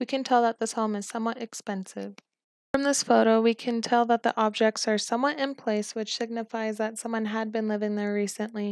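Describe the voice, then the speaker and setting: A woman speaks quietly at a fairly quick pace, her fairly high voice monotone and flat. The sound is dry and close, with no echo. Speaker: college student. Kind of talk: film analysis narration.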